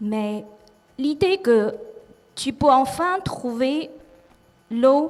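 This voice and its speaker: In a Chinese accent, a woman with a high pitch speaks at a very slow pace over noticeable background noise. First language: Chinese (speaking French). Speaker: artist. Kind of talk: reading aloud. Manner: careful articulation; loud.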